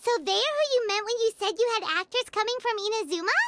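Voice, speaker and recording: A cartoonish character voice, squeaky and extremely high, moves at a fairly quick pace. Faint music plays in the background. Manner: eager, chirpy.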